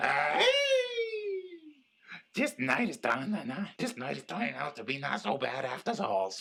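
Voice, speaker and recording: Using a put-on character voice, a man speaks at medium pitch and a moderate pace. He takes long, frequent pauses. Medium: audio drama. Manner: erratic, drawling, ungrammatical.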